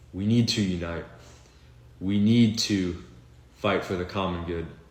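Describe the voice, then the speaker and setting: With ordinary pitch variation, the voice carries audible room echo. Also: man. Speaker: video blogger. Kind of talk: political monologue. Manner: slow; unscripted, halting.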